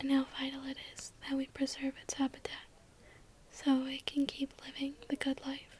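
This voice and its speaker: A woman is whispering at a moderate pace. Her delivery is soft-spoken. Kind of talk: ASMR fun-facts narration to camera. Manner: soft, whispering.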